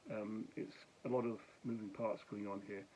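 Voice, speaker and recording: In a monotone, flat intonation, a man with a fairly low pitch speaks at a moderate pace. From Scotland, Glasgow. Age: 60s. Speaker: vlogger and charity founder. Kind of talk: casual vlog to camera. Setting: at home talking to camera. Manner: slightly slurred speech; halting, many fillers.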